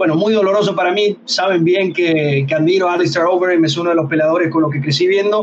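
There is noticeable background noise behind this man. He speaks at a fairly quick pace with a high pitch. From Venezuela. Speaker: MMA podcast host. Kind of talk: casual chat.

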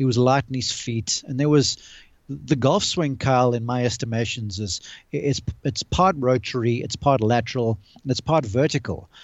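Here a man speaks with a normal speaking voice at a moderate pace. His pitch is medium, with ordinary variation. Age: 40s. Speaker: golf analyst and college golf coach. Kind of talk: casual chat. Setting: video call.

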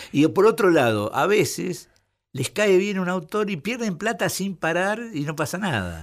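A man with a Rioplatense accent speaks fairly slowly in a high voice with lively intonation, in a very clean recording with a silent background. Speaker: writer and literary critic. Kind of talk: radio interview.

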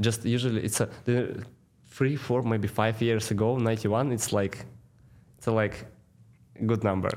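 A man with a Russian accent at a moderate pace, his intonation fairly even. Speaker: pro hockey player. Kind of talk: interview. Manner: halting.

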